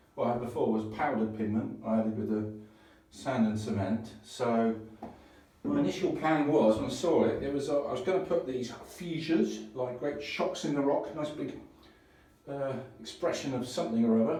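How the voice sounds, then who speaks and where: A man talks at a medium pitch and a moderate pace with ordinary pitch variation. Noticeable background noise and audible room echo are present. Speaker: DIY renovator. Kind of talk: DIY tutorial video. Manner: casual, hesitant with fillers.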